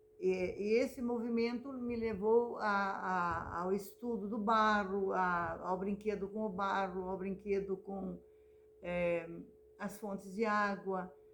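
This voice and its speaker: A woman speaks very slowly at a medium pitch, her intonation fairly even, with audible echo in the room. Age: 70s. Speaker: visual artist and retired teacher. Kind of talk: personal memoir talk. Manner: halting, many repetitions.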